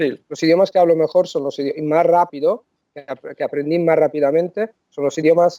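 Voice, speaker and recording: The voice has a dark, mellow tone, moving at a fairly quick pace with big swings in loudness. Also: man, high pitch for a man, fairly even intonation. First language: Italian (speaking Spanish). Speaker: polyglot, language coach. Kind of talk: interview. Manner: halting, frequent self-corrections.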